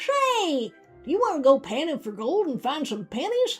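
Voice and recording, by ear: A put-on character voice at a moderate pace, with faint music in the background.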